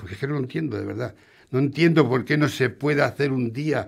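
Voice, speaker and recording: Over a quiet background, a man talks at a fairly quick pace. His fairly high voice is somewhat breathy, with ordinary pitch variation. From Spain. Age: 60s. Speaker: restaurant owner; radio guest. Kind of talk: interview. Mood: frustrated, complaining. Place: studio. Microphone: studio mic.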